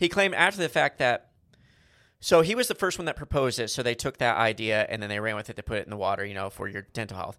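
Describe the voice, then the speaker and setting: On a very clean recording with a silent background, a man with a bright, sharp tone and medium pitch talks very fast, his pitch swinging very widely. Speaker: podcast co-host. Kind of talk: casual chat.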